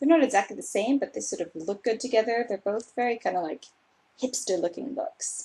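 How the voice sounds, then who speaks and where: Here a woman talks in a Californian accent. Her pitch is fairly high and her pace moderate. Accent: Californian American English. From Los Angeles, US West Coast. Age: 20s. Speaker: booktuber. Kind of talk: casual vlog monologue. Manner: animated.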